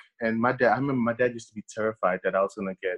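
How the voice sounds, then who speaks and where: At a fairly quick pace, a man talks at medium pitch with fairly even intonation, the sound dry and close with no echo. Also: quiet background. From Haiti, raised in Brooklyn, New York. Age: 30s. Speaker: author and epidemiologist. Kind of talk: interview. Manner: halting, many fillers.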